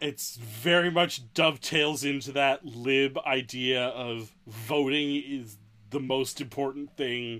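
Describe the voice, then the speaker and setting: An unremarkable speaking voice at a fairly slow pace, with fairly even intonation. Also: man. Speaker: podcast co-host. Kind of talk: casual banter, playful amen response.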